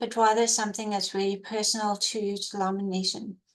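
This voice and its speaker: A woman speaks in a flat monotone with a slight South African accent. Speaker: emergency program coordinator. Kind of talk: webinar presentation.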